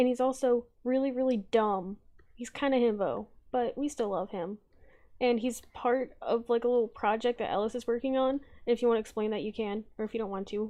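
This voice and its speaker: With a normal speaking voice, a woman talks at a fairly quick pace, her fairly high pitch held in fairly even intonation. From US South. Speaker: streamer and artist. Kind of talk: casual chat while drawing on stream.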